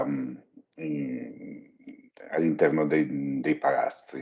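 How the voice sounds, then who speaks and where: Speaking with an Italian accent, a man with a very deep, low pitch talks at a fairly slow pace. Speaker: audience member asking questions. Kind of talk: question from audience.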